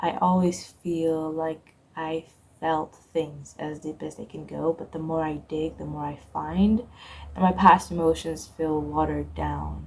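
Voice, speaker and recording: Mumbling, a woman speaks with big swings in loudness. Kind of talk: poetry reading and personal reflection. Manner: a bit mumbled.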